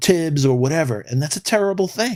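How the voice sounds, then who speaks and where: With a New York accent, a man talks at a fairly quick pace with lively intonation in a very clean recording over a silent background. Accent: New York City. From New York City, the Bronx. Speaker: sports podcast co-host. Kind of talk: casual live-stream sports talk. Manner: animated.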